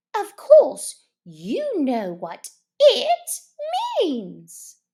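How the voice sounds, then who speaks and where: Using a put-on character voice, the woman pitches it extremely high. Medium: read story. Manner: crisp, cross.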